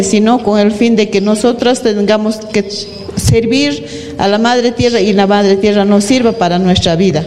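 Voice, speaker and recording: Over noticeable background noise and audible room echo, a woman talks at a fairly slow pace with ordinary pitch variation. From Peru, Arequipa. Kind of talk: panel talk.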